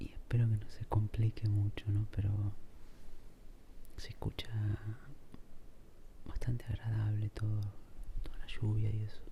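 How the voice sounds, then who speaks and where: A man's soft-spoken, somewhat breathy voice, fairly low and dark and mellow, flat and monotone, at a fairly slow pace with long, frequent pauses. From Argentina. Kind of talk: ASMR soft-spoken casual musing while drawing. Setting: home recording with heavy rain in background.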